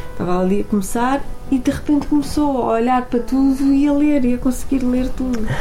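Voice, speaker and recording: Over music in the background, a woman speaks at a fairly quick pace in a high voice with ordinary pitch variation. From Portugal, Porto. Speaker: radio presenter. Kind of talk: casual chat.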